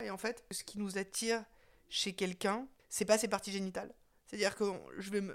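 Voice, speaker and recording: A woman speaks at a fairly quick pace, yet with long, frequent pauses. Her medium-pitched voice is monotone and flat. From Tahiti. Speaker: artist. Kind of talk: interview. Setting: at her home. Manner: halting.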